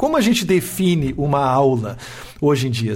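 Very wide pitch swings from a man, over noticeable background noise. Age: 40s. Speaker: university professor and podcast host. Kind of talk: casual interview conversation. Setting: live stream video.

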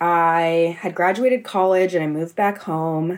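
Her voice is fairly low in pitch, and the woman speaks with an American accent. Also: very clean recording, silent background. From US West Coast, San Mateo, California. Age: 20s. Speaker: podcast industry professional. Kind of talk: casual chat.

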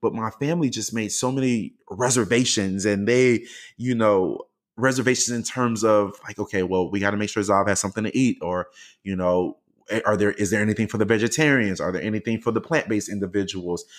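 Fairly quick and with ordinary pitch variation, the speaker talks with an American accent on a very clean recording with a silent background. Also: man, fairly low pitch for a man. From US South, Miami. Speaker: education consultant and motivational speaker. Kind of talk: interview conversation. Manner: animated.

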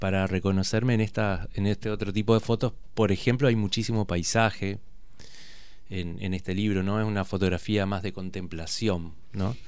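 At a moderate pace, a man with an unremarkable speaking voice talks at a fairly low pitch with fairly even intonation. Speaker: photojournalist. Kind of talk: radio interview. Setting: radio studio.

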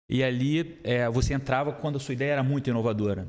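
A man with medium pitch speaks at a moderate pace in an ordinary speaking voice. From Rio de Janeiro. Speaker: entrepreneur, startup founder. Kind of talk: casual chat.

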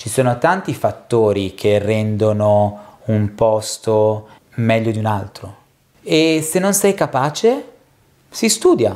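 A man speaks at a medium pitch with ordinary variation. His pace is very slow. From Argentina, moved to Italy (Milan) at age 3. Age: 30s. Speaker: drinks industry education manager. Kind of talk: interview.

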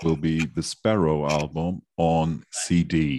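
The recording is very clean, with a silent background. A man speaks in a very deep, low voice with a dark, mellow tone. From Germany. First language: German. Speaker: podcast co-host. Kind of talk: casual interview chat.

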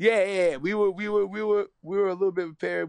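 A man with a New York accent speaks in an energetic tone. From New York, Queens. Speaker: content creator. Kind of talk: casual interview.

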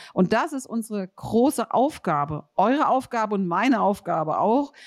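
A woman with a fairly high pitch speaks at a moderate pace in an animated tone with very wide pitch swings, the sound dry and close with no echo. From Rheinhessen, Germany. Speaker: podcast host, building consultant. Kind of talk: casual interview. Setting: remote recording, separate locations.

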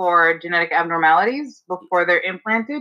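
Her tone is bright and sharp. The pitch moves up and down in an ordinary way for this woman. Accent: New York. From New York, Staten Island. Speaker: fertility lab scientist. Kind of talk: casual interview. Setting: video call from home.

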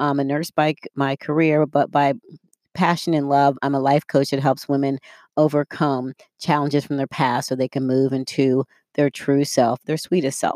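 A woman talks in a very deep, low pitch with monotone, flat intonation. Her pace is moderate, and the sound is dry and close with no echo. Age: 50s. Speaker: life coach podcast host. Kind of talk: solo motivational talk. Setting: studio. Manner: casual, with frequent fillers.

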